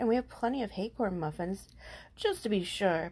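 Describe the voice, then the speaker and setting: A female-sounding voice doing a put-on character voice at a middle pitch. She talks at a moderate pace over a quiet background. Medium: read story. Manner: slow, gentle.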